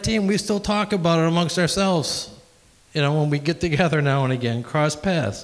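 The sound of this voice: A man with a fairly high pitch talks at a moderate speed, his pitch varying in an ordinary way.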